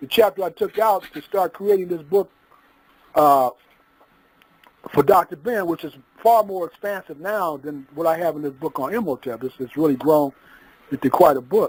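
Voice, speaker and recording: A man speaks at a high pitch with long, frequent pauses. His loudness swings widely. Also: ordinary pitch variation, moderate pace, dry, close sound with no echo. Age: 60s. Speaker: author and lecturer on African history. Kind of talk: lecture-style discussion. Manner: halting, many fillers.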